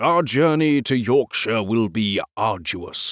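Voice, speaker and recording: This put-on character voice moves at a fairly slow pace with lively intonation. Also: man, medium pitch for a man. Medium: read story. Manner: pompous, condescending.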